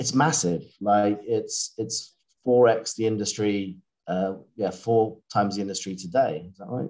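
Speaking with a British accent, a man with a fairly low pitch moves at a fairly slow pace, with ordinary pitch variation and big swings in loudness. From Britain. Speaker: battery materials analyst. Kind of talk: interview.

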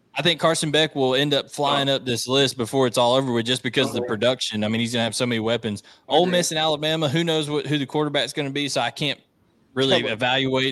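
A man talks very fast at a medium pitch with ordinary pitch variation. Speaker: podcast host. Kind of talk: casual sports talk show. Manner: fast talker.

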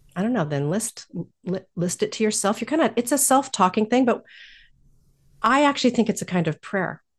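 A woman talks at a fairly quick pace in a fairly high, somewhat breathy voice with lively intonation. She leaves long, frequent pauses against a quiet background. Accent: American. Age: 50s. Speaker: life coach and spiritual director. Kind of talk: interview.

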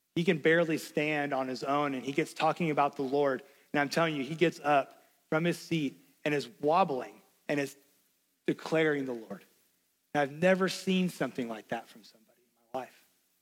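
A man with a Tennessee accent talks at a fairly quick pace and a fairly high pitch, with ordinary pitch variation. His loudness swings widely, and he takes long, frequent pauses. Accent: Southern US (Tennessee). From US South, Knoxville, Tennessee. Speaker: pastor. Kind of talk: sermon.

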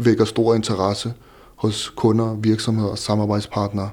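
This man's voice is fairly low and flat, almost monotone, and he speaks at a fairly slow pace. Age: 30s. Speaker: entrepreneur with visual impairment. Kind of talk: interview. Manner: halting.

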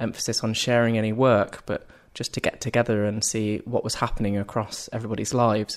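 A man's normal speaking voice at a medium pitch and moderate pace, on a very clean recording with a silent background. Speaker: arts organisation founder. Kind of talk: casual interview conversation.

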